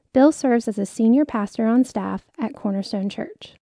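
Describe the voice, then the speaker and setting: Against a quiet background, a woman with an ordinary speaking voice talks at a fairly high pitch and a fairly quick pace. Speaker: church announcer. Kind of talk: scripted narration.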